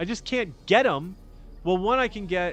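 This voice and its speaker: A man at a fairly quick pace, his pitch swinging very widely, with music in the background. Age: 50s. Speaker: podcast host. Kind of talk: casual livestream monologue. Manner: rambling, halting with many restarts.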